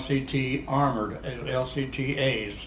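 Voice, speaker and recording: A man speaks at a medium pitch. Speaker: war veteran. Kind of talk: interview answer. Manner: hesitant.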